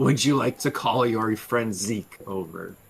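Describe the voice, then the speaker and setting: A man in a put-on character voice, medium in pitch, at a fairly slow pace. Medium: actual play. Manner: cryptic, knowing.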